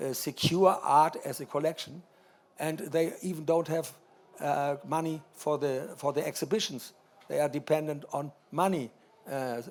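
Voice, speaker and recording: Speaking at a fairly slow pace with a German accent, a man uses fairly even intonation and a fairly high pitch. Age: 80s+. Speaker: art collector. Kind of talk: panel discussion. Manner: halting.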